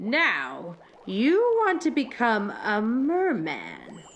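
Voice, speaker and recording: A put-on character voice, female-sounding and fairly high in pitch, at a very slow pace. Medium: read story. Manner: cooing, falsely soothing.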